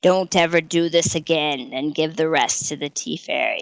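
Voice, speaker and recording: Putting on a character voice, a woman sounds raspy and booming at a fairly low pitch, with ordinary pitch variation and a moderate pace. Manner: commanding, stern.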